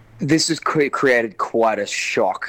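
A man with an Australian accent over noticeable background noise. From Newcastle, Australia. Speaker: actor and correspondent. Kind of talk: casual chat. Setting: video call.

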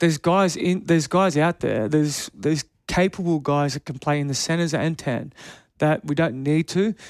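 A man with an Australian accent speaks at a moderate pace and a fairly high pitch with ordinary pitch variation, in a dry, close sound with no echo on a very clean recording with a silent background. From Canberra, Australia. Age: 30s. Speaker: retired rugby player. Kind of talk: interview.

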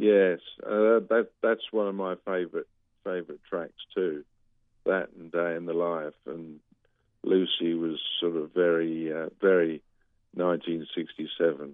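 A man talks at a very slow pace with a very deep, low pitch. His intonation stays fairly even, with long, frequent pauses. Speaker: retired sound engineer. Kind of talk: radio interview.

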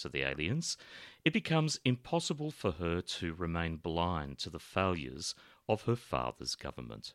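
An Australian accent with vocal fry and very wide pitch swings, in a very clean recording with a silent background and a dry, close sound with no echo. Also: man. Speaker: podcast host. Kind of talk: podcast introduction and outro, casual chat.

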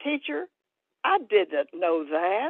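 A woman speaks very slowly with an American accent. Her intonation is lively. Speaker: author and retired psychology professor. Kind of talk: interview. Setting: video call.

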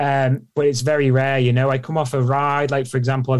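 A man talks at a medium pitch. His intonation stays monotone and flat. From Isle of Man. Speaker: professional cyclist. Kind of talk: interview. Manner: fast.

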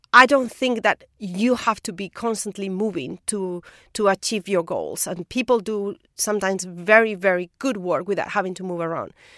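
Recorded very cleanly with a silent background and a dry, close sound with no echo, a woman with a Spanish accent speaks in a bright, sharp tone at a moderate pace, her pitch varying in an ordinary way and her loudness swinging widely. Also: medium pitch for a woman. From Spain. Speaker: biophysicist, professor. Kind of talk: interview. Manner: halting, repeats words.

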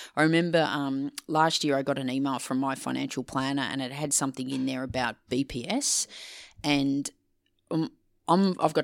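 With an Australian accent, a woman speaks at a fairly quick pace in a very deep, low voice. The recording is very clean with a silent background and a dry, close sound with no echo. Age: 50s. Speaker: leadership communication consultant and author. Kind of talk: podcast interview.

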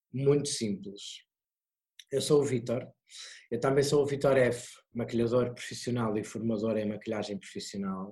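Somewhat breathy, with a dark, mellow tone, the speaker talks at a moderate pace with ordinary pitch variation and long, frequent pauses. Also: man, medium pitch for a man. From Portugal, Porto. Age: 30s. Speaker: drag performer and makeup artist. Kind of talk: online talk. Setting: video call. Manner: halting.

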